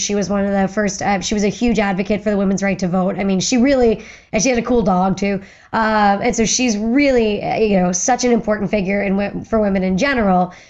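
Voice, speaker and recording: A woman with an American accent talks at a fairly quick pace. Her voice sits at a medium pitch with fairly even intonation. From western Pennsylvania. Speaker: firearms historian, former museum curator. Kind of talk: podcast interview. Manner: fast.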